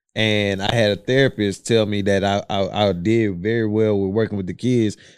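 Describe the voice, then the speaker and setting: A man with a normal speaking voice and a fairly low pitch talks at a moderate pace on a very clean recording with a silent background. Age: 30s. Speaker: podcast co-host. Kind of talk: casual chat.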